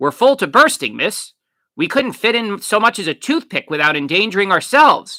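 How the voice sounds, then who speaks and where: In a very clean recording with a silent background, a man uses a put-on character voice. It sits high in pitch, swings very widely, and moves at a moderate pace. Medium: read story. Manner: polite, hesitant.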